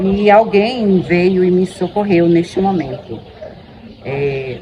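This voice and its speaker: Woman with a fairly low pitch and ordinary pitch variation, over noticeable background noise. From Bahia, Brazil. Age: 50s. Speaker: teacher. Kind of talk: testimony.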